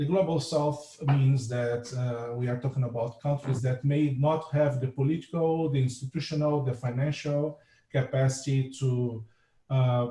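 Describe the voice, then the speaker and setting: With a Portuguese accent, a man speaks in a dark, mellow tone that is somewhat breathy. His intonation stays fairly even. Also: medium pitch for a man, moderate pace. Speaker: marine scientist. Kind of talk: lecture. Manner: halting.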